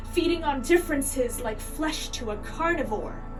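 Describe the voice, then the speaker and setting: With music in the background, a woman speaks at a moderate pace in a high voice with lively intonation. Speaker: activist, filmmaker, slam poet. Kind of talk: slam poetry performance.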